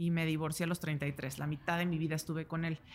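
On a very clean recording with a silent background, a woman with a Mexican accent talks at a moderate pace. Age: 30s. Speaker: podcast host. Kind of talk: casual chat. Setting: live event forum.

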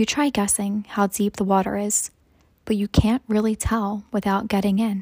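Somewhat breathy and gentle, a woman speaks in a soothing tone, recorded very cleanly against a silent background with a dry, close sound and no echo. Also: medium pitch for a woman. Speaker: meditation guide. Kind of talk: guided meditation. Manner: slow, soothing and calm; gentle, soft-spoken with long pauses.

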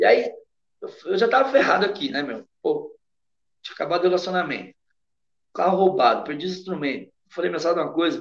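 The speech runs at a fairly quick pace with lively intonation. Long pauses come often. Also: man, high pitch for a man. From Brazil. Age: 40s. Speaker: sertanejo singer. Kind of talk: casual interview.

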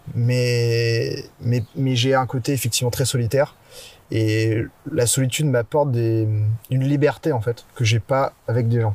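The somewhat breathy voice keeps a very even loudness and fairly even intonation at a fairly slow pace. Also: man, medium pitch for a man. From Brittany, France. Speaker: photographer and videographer. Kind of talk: casual interview. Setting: outdoors in a forest.

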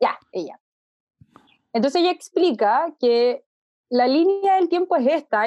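In a Chilean accent, a woman talks with lively intonation. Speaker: technology journalist. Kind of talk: casual chat. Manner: fast.

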